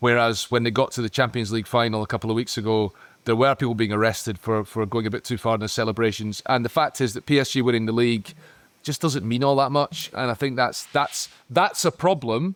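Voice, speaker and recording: A man with a Scottish accent, medium-pitched, at a very fast pace. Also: ordinary pitch variation, dry, close sound with no echo. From Scotland. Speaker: football podcast pundit. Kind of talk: casual chat. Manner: halting.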